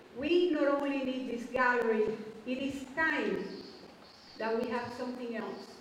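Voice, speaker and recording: A woman's high voice at a fairly slow pace, with fairly even intonation, audible room echo and light background noise. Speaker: presenter. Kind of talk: public speech. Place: hall.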